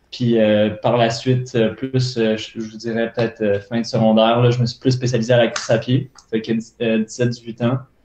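In a room with audible echo, a man speaks fairly slowly at a medium pitch, his intonation monotone and flat. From Montreal. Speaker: elite runner; guest. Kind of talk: casual interview. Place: home room. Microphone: earbuds.

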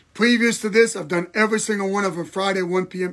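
A man with a high voice talks at a fairly quick pace, his pitch moving in an ordinary way over a quiet background. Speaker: pastor. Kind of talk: livestream bible teaching. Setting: live video stream. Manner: animated, repetitive preaching. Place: home room. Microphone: phone near.

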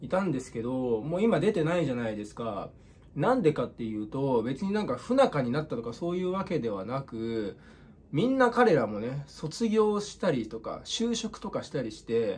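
A somewhat breathy man at a moderate pace, with very wide pitch swings. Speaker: comedian youtuber. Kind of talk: casual vlog chat. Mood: reflective, slightly gloomy. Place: home room. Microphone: phone near.

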